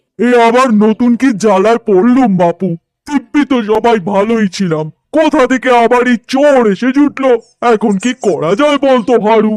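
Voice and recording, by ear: A man uses a cartoonish character voice at an extremely high pitch. He speaks at a moderate pace.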